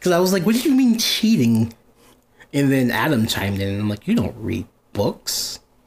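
Animated and somewhat breathy, a man with a fairly high voice speaks at a moderate pace with very wide pitch swings. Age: 20s. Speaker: podcast host. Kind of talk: casual chat.

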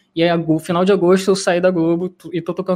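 A man with a high-pitched voice talks at a fairly quick pace against a quiet background. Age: 20s. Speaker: programmer and tech YouTuber. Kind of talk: casual chat.

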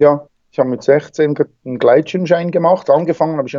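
Moderate pace from a male speaker. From Switzerland, Bernese Seeland. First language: Swiss German (speaking German). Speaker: wingsuit flyer and extreme athlete. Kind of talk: interview. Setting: Skype call.

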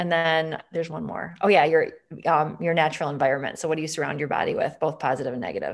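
Against a quiet background, a woman with an American accent and a very deep, low voice speaks at a very fast pace with fairly even intonation. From Wisconsin, Green Bay. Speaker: integrative medicine physician. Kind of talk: interview conversation.

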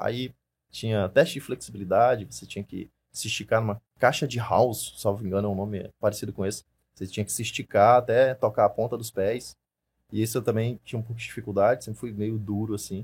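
A somewhat breathy voice moves at a fairly quick pace with fairly even intonation and big swings in loudness. The recording is very clean, with a silent background. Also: man, medium pitch for a man. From Maranhão, Brazil (Imperatriz). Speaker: firearms instructor and police investigator. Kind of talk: casual interview chat.

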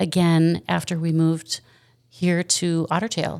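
An ordinary speaking voice comes through with an American accent. The recording is very clean, with a silent background. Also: woman. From Wisconsin. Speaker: store owner. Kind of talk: casual interview. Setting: in the store.

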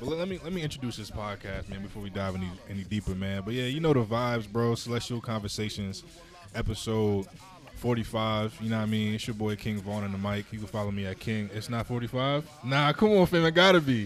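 Someone talks at a fairly quick pace with an American accent and ordinary pitch variation. Music plays in the background. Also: man, fairly low pitch for a man. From New Jersey. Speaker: podcast host. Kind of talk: casual chat; reading aloud.

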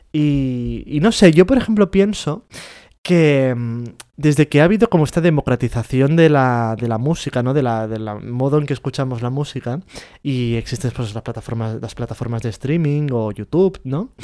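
A man talks in a normal speaking voice at medium pitch and a moderate pace, with lively intonation. The recording is very clean, with a silent background. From Spain, Catalonia. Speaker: podcast co-host. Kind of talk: casual chat.

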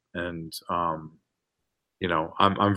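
A bright, sharp voice with an American accent and ordinary pitch variation, on a very clean recording with a silent background. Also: man. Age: 30s. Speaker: filmmaker. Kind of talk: casual interview.

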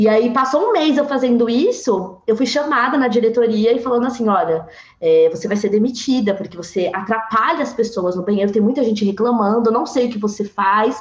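A woman speaks at a fairly quick pace with hardly any pauses, her voice somewhat breathy. Her pitch sits fairly high and varies in an ordinary way. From São Paulo, east zone. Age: 20s. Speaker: tech sales professional. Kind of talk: casual chat. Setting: video call.

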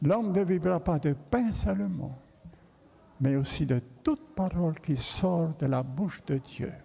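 The speech moves at a very slow pace with long, frequent pauses. Its intonation is lively and its loudness very even. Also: man, fairly high pitch for a man. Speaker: pastor. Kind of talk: sermon.

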